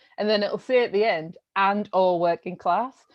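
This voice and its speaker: A woman's medium-pitched voice moves at a moderate speed with ordinary pitch variation. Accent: strong North East English. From North East England, Sunderland. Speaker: art curator. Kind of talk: interview.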